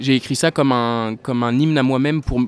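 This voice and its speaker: The man has a plain, everyday voice. His pace is moderate and his pitch medium. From France, La Rochelle. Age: 20s. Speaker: singer-songwriter. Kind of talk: interview.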